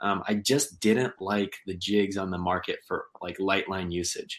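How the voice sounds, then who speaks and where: A man with a Midwestern American accent and a fairly low voice, against a quiet background. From Kansas. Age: 20s. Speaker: fishing YouTuber and tackle maker. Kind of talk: casual chat.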